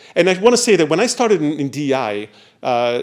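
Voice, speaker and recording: Lively intonation marks the speech of a man with an Italian accent. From Italy. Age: 60s. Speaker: diversity consultant and former professor. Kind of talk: panel presentation.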